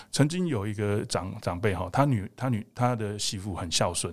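A man with a normal speaking voice and a fairly low pitch speaks at a moderate pace, his intonation lively. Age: 50s. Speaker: emergency doctor and fitness coach. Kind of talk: interview conversation.

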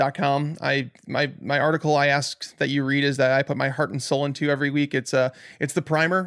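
With an American accent, a man talks fairly quickly in a fairly high pitch and fairly even intonation, in a plain, everyday voice, and the sound is dry and close with no echo. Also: very clean recording, silent background. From Chicago, US Midwest. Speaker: fantasy football analyst. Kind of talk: casual chat.

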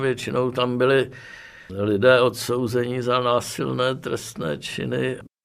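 A man talks very slowly at medium pitch, his pitch varying in an ordinary way. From Prague, Czechia. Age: 80s+. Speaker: former political prisoner and dissident. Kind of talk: oral history interview.

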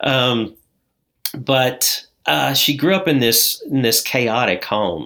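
A man with an American accent at medium pitch, a bright, sharp tone, vocal fry and lively intonation, on a very clean recording with a silent background. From southern Indiana. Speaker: addiction recovery coach. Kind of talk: interview, personal testimony.

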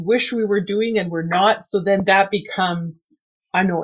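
A woman speaks at a fairly slow pace with a medium pitch and ordinary pitch variation. She has a plain, everyday voice. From Canada. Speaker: runner. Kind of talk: interview.

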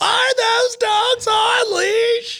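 A female-sounding voice shouts in a put-on character voice at an extremely high pitch. It is shrill, with a monotone, flat intonation. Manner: accusatory, yelling.

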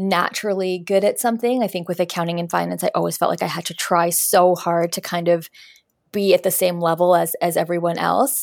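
In a Canadian accent, a woman speaks with a normal speaking voice, fairly low in pitch, at a fairly quick pace with fairly even intonation. The recording is very clean, with a silent background. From Canada, Winnipeg. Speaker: career coach and resume strategist. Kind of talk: interview.

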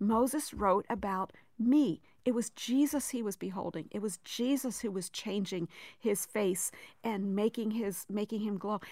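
This woman has an ordinary speaking voice with medium pitch and ordinary pitch variation, talking at a fairly slow pace. The recording is very clean, with a silent background. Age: 60s. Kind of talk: radio interview.

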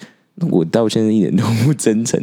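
A man talks in an animated tone with lively intonation while noticeable background noise carries on behind him. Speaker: podcast co-host. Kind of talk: casual chat.

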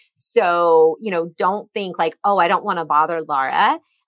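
A woman's ordinary speaking voice, medium in pitch with ordinary pitch variation, in a dry, close sound with no echo. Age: 40s. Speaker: cancer survivor, small business owner. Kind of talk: interview testimony.

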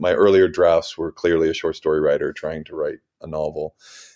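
A man in an American accent speaks at a moderate pace. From US, Missouri. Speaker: novelist. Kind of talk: interview. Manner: halting, with many repetitions.

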